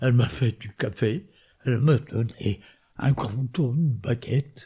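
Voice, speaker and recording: A man's medium-pitched, somewhat breathy voice with a dark, mellow tone, ordinary pitch variation and a very slow pace. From northern France. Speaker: war veteran. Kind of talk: testimony.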